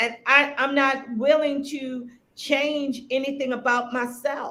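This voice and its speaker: A woman projects a raised, high-pitched voice with a bright, sharp tone, flat and monotone in intonation. She speaks at a very slow pace, and the room echo is audible. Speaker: spiritual practitioner and shop owner. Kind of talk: interview conversation.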